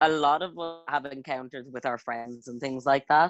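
Fairly high in pitch for a man, this Irish-accented voice keeps a fairly even intonation; he speaks with an Irish accent. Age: 20s. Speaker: podcast guest. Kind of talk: casual chat.

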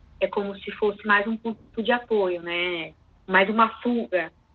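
At a fairly slow pace, a woman speaks with a fairly high pitch, fairly even intonation, and an ordinary speaking voice. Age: 20s. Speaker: psychologist. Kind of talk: interview answers.

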